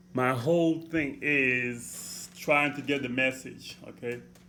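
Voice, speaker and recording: A man speaks with a strong Haitian accent. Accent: heavy Haitian. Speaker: motivational vlogger. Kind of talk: motivational talk. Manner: deliberate, clear; repeats okay, halting restarts.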